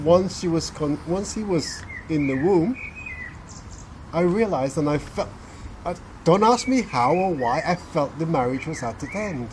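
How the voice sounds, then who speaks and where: A high-pitched man speaks at a moderate pace with lively intonation and long, frequent pauses. Noticeable background noise runs underneath. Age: 60s. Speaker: hypnotherapist. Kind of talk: interview answer.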